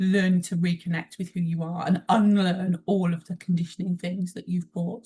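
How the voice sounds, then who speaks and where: A woman with a British accent speaks at a moderate pace in a fairly low, somewhat breathy voice with a dark, mellow tone and monotone, flat intonation. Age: 40s. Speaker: emotional intelligence trainer and mentor. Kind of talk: interview conversation.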